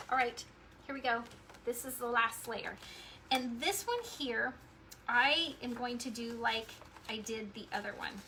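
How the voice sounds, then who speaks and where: A woman's high voice at a fairly slow pace, broken by long, frequent pauses, against noticeable background noise. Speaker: crafts tutorial host. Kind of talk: tutorial. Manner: animated.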